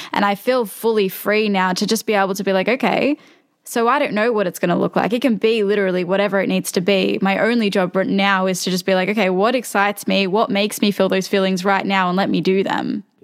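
At a very fast pace with hardly any pauses, a woman of medium pitch speaks with fairly even intonation and very even loudness. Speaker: podcast host. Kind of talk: casual interview chat.

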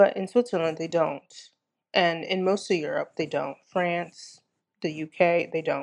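A woman's fairly low voice with an American accent, fairly slow and fairly even in intonation, over a quiet background. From United States. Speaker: executive coach. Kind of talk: interview. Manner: halting, many fillers.

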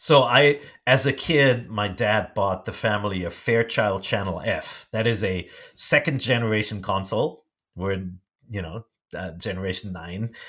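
A man with a German accent, fairly low pitch, ordinary pitch variation and a moderate pace. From small-town Germany. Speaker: media executive. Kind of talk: interview. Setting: remote call. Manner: halting, many fillers and repeats.

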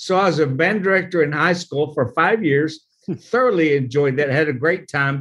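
A man with an American accent has a plain, everyday voice, a fairly high pitch and ordinary pitch variation. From Oklahoma. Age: 60s. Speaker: pastor and nonprofit leader. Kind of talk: interview.

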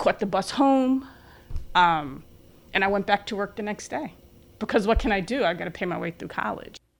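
In a New York accent, a woman speaks at medium pitch and a moderate pace with lively intonation. She leaves long, frequent pauses. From New York City area (Bronx, Long Island). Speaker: physician assistant. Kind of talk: interview.

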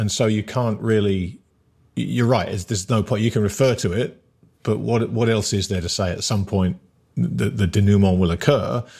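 A man speaks with vocal fry and a dark, mellow tone in an English accent, on a very clean recording with a silent background. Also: fairly low pitch for a man, ordinary pitch variation, moderate pace. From England. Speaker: podcast host. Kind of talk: casual interview.

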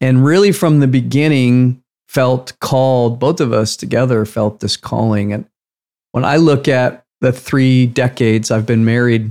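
In an ordinary speaking voice, a man talks at a fairly slow pace, medium in pitch, with ordinary pitch variation. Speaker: podcast co-host. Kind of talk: casual conversational podcast.

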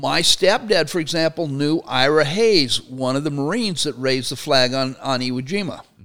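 The speaker moves at a moderate pace with hardly any pauses and ordinary pitch variation. Noticeable background noise runs underneath. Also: man, fairly high pitch for a man. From Arizona. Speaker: Marine veteran and labor professor. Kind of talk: casual chat.

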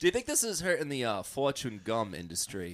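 A man speaks very fast with vocal fry. His pitch sits fairly high. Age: 30s. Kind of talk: casual chat.

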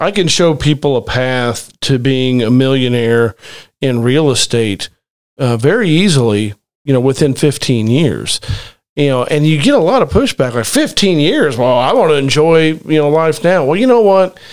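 A man speaks in a plain, everyday voice at a fairly high pitch and moderate pace. His intonation is lively while his loudness stays very even. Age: 40s. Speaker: real estate investor, podcast host. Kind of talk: casual chat.

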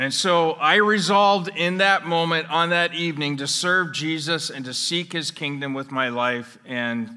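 In a Canadian accent, a man with a normal speaking voice talks at a moderate pace with lively intonation. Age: 60s. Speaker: pastor. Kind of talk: sermon. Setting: church.

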